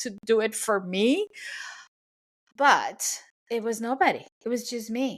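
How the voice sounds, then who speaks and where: The woman's voice sits at a fairly high pitch. She talks with a Spanish accent. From Venezuela. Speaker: cake decorator and business coach, podcast host. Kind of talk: podcast monologue. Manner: conversational, with hesitations.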